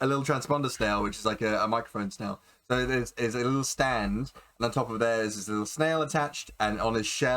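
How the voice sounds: The delivery is a natural reading voice with ordinary pitch variation.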